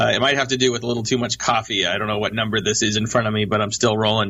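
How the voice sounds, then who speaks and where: A man's voice against noticeable background noise. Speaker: radio show host. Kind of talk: radio interview. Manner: fast.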